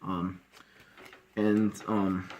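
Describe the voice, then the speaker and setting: The intonation is monotone and flat. It belongs to a man. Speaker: competitive card game player. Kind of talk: casual deck profile talk to camera. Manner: stuttering, many filler words.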